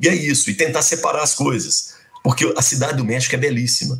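The delivery runs at a fairly quick pace. This is an unremarkable speaking voice. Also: man. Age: 50s. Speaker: university professor and radio broadcaster. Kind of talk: casual interview, storytelling.

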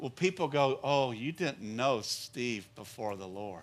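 A man's voice with lively intonation at a very slow pace, music in the background. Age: 50s. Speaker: pastor. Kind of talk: sermon. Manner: animated.

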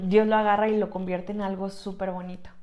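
Woman at medium pitch, monotone and flat, with audible room echo. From Mexico, Tlaxcala. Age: 20s. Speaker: podcast co-host, church youth worker. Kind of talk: casual chat. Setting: small room, seated together.

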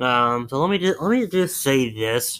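A very clean recording with a silent background, full of lively intonation. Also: man. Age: 20s. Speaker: podcast host. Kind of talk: casual solo commentary. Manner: animated.

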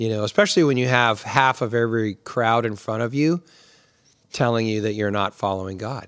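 Using an ordinary speaking voice, a man talks at a fairly quick pace with a medium pitch and ordinary pitch variation on a very clean recording with a silent background. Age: 50s. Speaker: pastor and podcast host. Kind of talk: casual chat.

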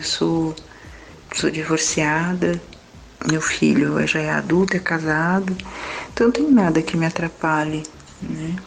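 A woman with a fairly low pitch talks over noticeable background noise. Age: 50s. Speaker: listener sharing a relationship problem. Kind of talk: personal testimony.

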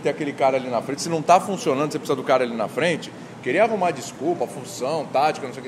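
There is noticeable background noise as a man talks. His pitch is fairly high and varies in an ordinary way. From Brazil, Santos (São Paulo state). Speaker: sports journalist and TV presenter. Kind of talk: casual chat. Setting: bar. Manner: animated.

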